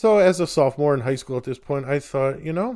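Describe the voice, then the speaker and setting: With an American accent and a dark, mellow tone, the voice comes through on a very clean recording with a silent background. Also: man. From Chicago western suburbs, US Midwest. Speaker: podcast host, composer and college professor. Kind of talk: casual solo monologue. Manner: conversational with filler words.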